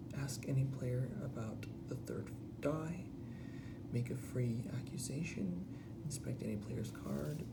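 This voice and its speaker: Whispered at a very slow pace. Noticeable background noise sits behind it. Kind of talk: ASMR unboxing.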